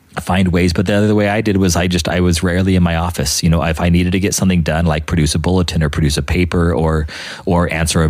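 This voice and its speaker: A man's very deep, low, monotone voice at a very fast pace over noticeable background noise. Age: 40s. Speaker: podcast host, priest. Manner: fast talker.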